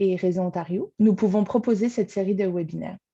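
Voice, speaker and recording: Somewhat breathy and dark, mellow in tone, a woman's medium-pitched voice shows ordinary pitch variation. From France. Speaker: arts programming coordinator. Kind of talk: webinar welcome speech. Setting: video call from home.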